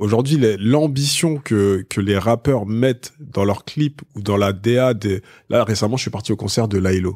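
On a very clean recording with a silent background, a man speaks fairly slowly in an unremarkable speaking voice, fairly low in pitch with ordinary pitch variation and very even loudness. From Paris suburbs, Essonne (Évry). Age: 30s. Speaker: media entrepreneur. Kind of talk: casual interview.

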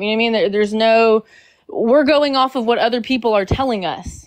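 A woman with fairly high pitch uses a normal speaking voice with ordinary pitch variation. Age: 20s. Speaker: caller on live debate stream. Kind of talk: casual debate.

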